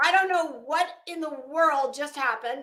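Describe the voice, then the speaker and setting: A woman shouts in a high-pitched, raised, projected voice. Her tone is bright and sharp. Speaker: true crime commentator. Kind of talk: casual commentary livestream. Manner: loud, yelling.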